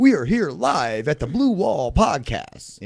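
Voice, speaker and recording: A man uses a put-on character voice, fairly high in pitch, and talks at a fairly slow pace. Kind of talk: announcer.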